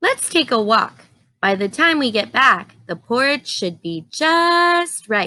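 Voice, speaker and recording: Using a put-on character voice, a woman speaks high and fairly slowly, her pitch swinging very widely. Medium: read story.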